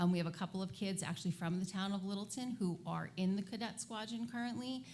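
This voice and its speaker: Fairly quick and fairly even in intonation, a woman's medium-pitched voice sounds somewhat breathy. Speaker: airport commission member. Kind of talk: public meeting presentation. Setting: town meeting. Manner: fast.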